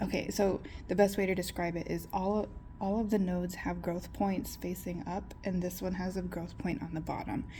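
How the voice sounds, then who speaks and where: A woman whispering amid audible room echo. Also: moderate pace. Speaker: plant hobbyist vlogger. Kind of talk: casual tutorial vlog. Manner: chatty, hesitant.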